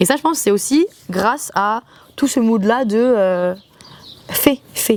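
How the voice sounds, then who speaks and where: A woman speaks at a fairly high pitch with ordinary pitch variation and long, frequent pauses, in a dry, close sound with no echo. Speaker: vlogger, student back from exchange. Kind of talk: casual vlog monologue. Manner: poorly articulated.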